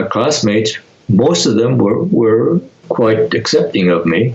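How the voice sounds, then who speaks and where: Against noticeable background noise, a man with an American accent speaks at a very slow pace. His voice is medium in pitch with lively intonation. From US Pacific Northwest, rural Oregon near Portland. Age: 90s. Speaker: internment camp survivor. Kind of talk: interview. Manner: halting, many repetitions and fillers.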